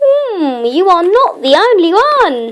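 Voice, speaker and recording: With a fairly slow pace and very wide pitch swings, a woman puts on a character voice pitched extremely high. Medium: read story.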